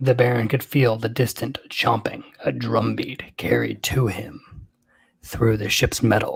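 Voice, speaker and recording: This man puts on a raspy character voice at a medium pitch. He talks at a fairly slow pace. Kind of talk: podcast narration.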